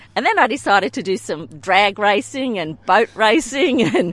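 This woman has an Australian accent. Her pitch sits in the medium range. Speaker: amateur golfer. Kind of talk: casual chat.

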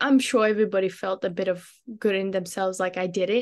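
Here is a woman with an Australian accent. Her pitch sits in the medium range. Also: quiet background. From Australia, Queensland (Brisbane); born in Afghanistan. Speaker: community advocate. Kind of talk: interview.

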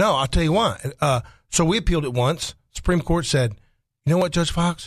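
A man speaks with an Arkansas accent. His voice is somewhat breathy. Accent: Southern US (Arkansas). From Arkansas, Faulkner County. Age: 50s. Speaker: attorney. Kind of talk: casual talk radio discussion. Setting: radio studio.

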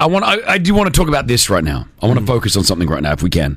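Very wide pitch swings mark this very fast speaker with an Australian accent, heard over noticeable background noise. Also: man. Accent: mild Australian. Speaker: radio host. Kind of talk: casual chat. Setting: studio. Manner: animated.

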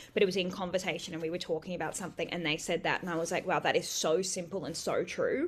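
Speaking very fast with hardly any pauses, a woman with an Australian accent uses a fairly low pitch and monotone, flat intonation. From rural New South Wales, Australia (Bellingen area). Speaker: writer and sex worker. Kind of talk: casual interview.

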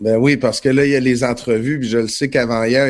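A man talks at a medium pitch. Behind him the background is silent, and the recording is very clean. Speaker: podcast host. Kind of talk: casual chat.

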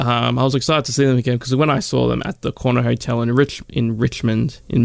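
With an Australian accent, a man speaks at a moderate pace and a medium pitch. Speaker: podcast host and radio presenter. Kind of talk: casual chat. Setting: studio.

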